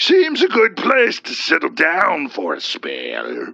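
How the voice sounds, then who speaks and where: A woman puts on a character voice and talks at a fairly slow pace. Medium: read story. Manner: folksy, chummy and mocking.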